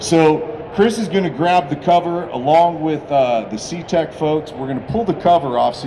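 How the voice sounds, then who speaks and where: A man's fairly high voice carries lively intonation at a moderate pace, with noticeable background noise and audible room echo around it. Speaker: car builder presenting a custom car. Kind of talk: live presentation at a car show unveil. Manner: loud; animated.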